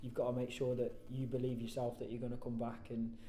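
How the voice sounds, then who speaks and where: A man at a medium pitch in a West Midlands accent, very fast, with audible room echo. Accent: Coventry English. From English Midlands, Coventry. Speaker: professional footballer. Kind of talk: post-match style interview. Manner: loud.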